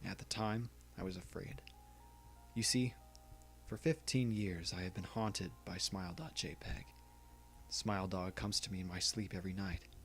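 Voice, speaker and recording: Over music in the background, a man speaks with a very deep, low pitch and lively intonation. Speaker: creepypasta narrator. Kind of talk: creepypasta reading, horror story narration.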